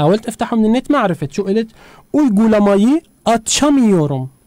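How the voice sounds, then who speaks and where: The voice has a dark, mellow tone and very wide pitch swings, moving at a moderate pace in a dry, close sound with no echo. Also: man. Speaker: radio host teaching Turkish. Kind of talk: language lesson. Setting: radio studio.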